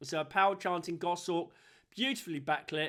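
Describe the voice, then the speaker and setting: Fairly quick, animated speech from a high-pitched man on a very clean recording with a silent background. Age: 60s. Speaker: wildlife photographer. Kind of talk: casual tutorial.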